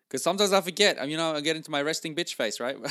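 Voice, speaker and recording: The tone is enthusiastic and animated, as well as bright and sharp. The recording is very clean and silent in the background, with a dry, close sound and no echo. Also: man. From Norway. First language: Norwegian. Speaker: podcast host and sales coach. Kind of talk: solo podcast monologue, motivational coaching. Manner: enthusiastic, animated.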